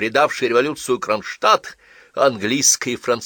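A text is being read out loud. The delivery sounds natural the whole way.

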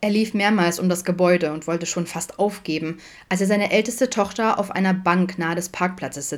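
The voice heard here reads in a natural way.

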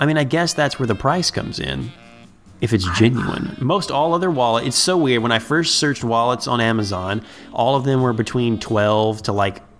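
Music plays behind a man talking at a fairly quick pace with an American accent. His medium pitch carries lively intonation. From Ohio, US Midwest. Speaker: podcast host. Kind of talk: casual chat.

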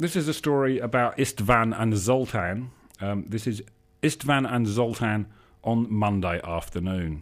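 An unforced reading voice reads with ordinary pitch variation.

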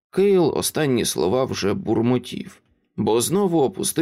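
Plain reading aloud with lively intonation sits against a quiet background.

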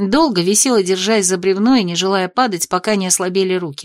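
Pitch varies in an ordinary way while the text is read aloud in a natural voice.

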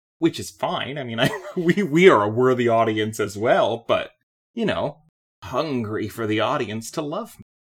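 A man speaks loudly. His pitch swings very widely. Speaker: podcast co-host. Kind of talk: casual chat.

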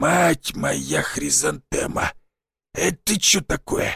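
A man puts on a raspy, wheezy character voice and speaks at a very slow pace. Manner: startled.

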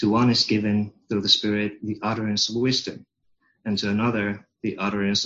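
In a Finnish accent, the speaker moves at a fairly quick pace with monotone, flat intonation. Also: man. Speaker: congregation member reading scripture. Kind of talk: scripture reading.

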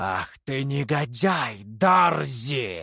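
A man does a put-on character voice at medium pitch, with hissing in the sound.

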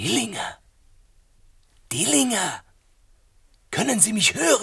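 Slowly, a man puts on a high-pitched character voice with very wide pitch swings. His tone is bright and sharp, with vocal fry.

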